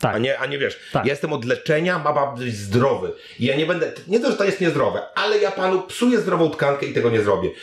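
With a Polish accent, the speaker talks at a fairly quick pace with very wide pitch swings, in audible room echo. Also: man. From Poland. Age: 40s. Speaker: internet content creator and reporter; podcast guest. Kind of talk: interview. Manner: casual, animated. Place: home room.

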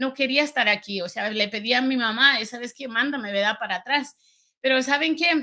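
A woman's bright, sharp, high-pitched voice at a fairly quick pace, with ordinary pitch variation, over a quiet background. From rural Guanajuato, Mexico. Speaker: entrepreneur. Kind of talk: testimony. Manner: halting, many fillers. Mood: reflective, earnest storytelling.

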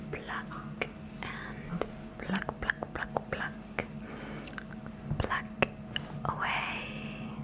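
The speech goes at a very slow pace, broken by long, frequent pauses. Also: woman. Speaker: ASMR artist. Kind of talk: ASMR trigger words. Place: home room. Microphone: studio mic.

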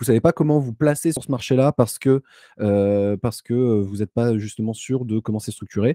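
Against a quiet background, a man with a dark, mellow tone talks at a moderate pace with ordinary pitch variation, the sound dry with no echo. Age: 20s. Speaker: data scientist consultant. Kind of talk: live stream interview. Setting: remote streaming setup. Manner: hesitant, many filler sounds. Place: home room. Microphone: studio mic.

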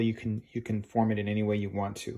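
A man is talking. Behind him, the background stays quiet. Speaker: art teacher. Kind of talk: tutorial. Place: classroom. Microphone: phone near.

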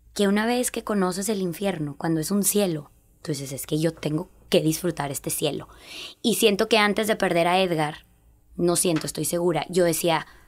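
Moderate pace from a woman with a fairly low voice and ordinary variation in pitch. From Texas-Coahuila border. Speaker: fitness instructor and bereaved mother; podcast guest. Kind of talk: interview testimony. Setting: studio. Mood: emotional, grieving but hopeful. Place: studio. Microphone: studio mic.

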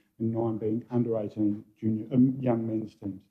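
The pace is fairly slow. A man is speaking. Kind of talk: formal presentation to council. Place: hall.

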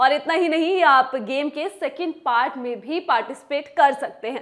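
Against a quiet background, a woman speaks at a fairly slow pace with lively intonation. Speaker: presenter. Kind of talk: news presentation. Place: studio. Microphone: lapel.

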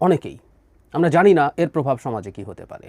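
Recorded with a dry, close sound and no echo, this man speaks at a high pitch. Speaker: political commentator. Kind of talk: political commentary monologue.

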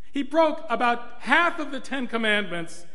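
Over a quiet background, a man delivers a raised, projected voice at a fairly slow pace, his pitch swinging very widely. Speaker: clergy preacher. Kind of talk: sermon. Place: church. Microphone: podium.

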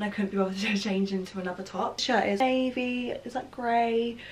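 Light background noise sits behind the speech. A woman talks at a moderate pace. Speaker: fashion vlogger. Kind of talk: casual vlog chat. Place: home room. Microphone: camera far.

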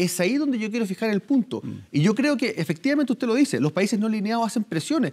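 This is a man's voice. He talks at a very fast pace. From Chile. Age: 30s. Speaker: politician. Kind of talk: news interview. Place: studio.

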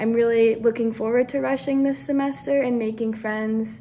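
A fairly high-pitched woman with an American accent, moderate pace and ordinary pitch variation over light background noise. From US Pacific Northwest, Portland, Oregon; Oregon. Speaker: college student. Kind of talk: self-introduction video. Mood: friendly, slightly nervous. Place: home room. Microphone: phone near.

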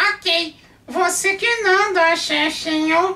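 The put-on character voice drags along at a very slow pace. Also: man, extremely high pitch for a man. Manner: sassy, teasing.

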